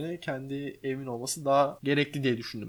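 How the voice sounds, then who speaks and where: A man talks at a fairly quick pace in an ordinary speaking voice, his pitch fairly high. The recording is very clean, with a silent background. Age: 20s. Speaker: podcast host, streamer and interior architect. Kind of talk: casual chat. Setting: home living room.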